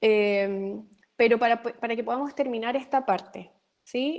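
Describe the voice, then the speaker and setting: This is a normal speaking voice, moving at a moderate pace with fairly even intonation. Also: woman. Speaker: university lecturer. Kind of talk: online lecture. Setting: live video session.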